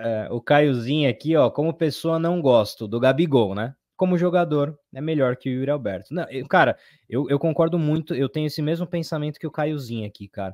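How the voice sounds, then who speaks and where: Against a quiet background, an unremarkable speaking voice moves at a fairly quick pace with ordinary pitch variation in a dry, close sound with no echo. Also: man, fairly high pitch for a man. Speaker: football fan channel co-host. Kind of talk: casual live-stream chat.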